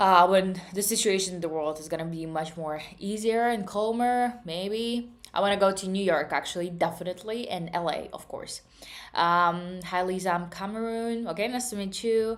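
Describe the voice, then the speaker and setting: A woman of medium pitch speaks at a moderate pace with ordinary pitch variation and big swings in loudness, on a very clean recording with a silent background. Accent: slight Russian. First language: Russian. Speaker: trading streamer. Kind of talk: live stream chat. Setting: live stream. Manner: casual, with frequent hesitations.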